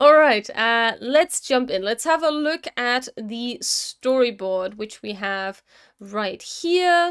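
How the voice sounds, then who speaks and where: Very slowly and loudly, a woman speaks in a high pitch with lively intonation. The recording is very clean with a silent background and a dry, close sound with no echo. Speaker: motion designer and animation streamer. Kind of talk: live-stream work commentary. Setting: live stream. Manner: halting.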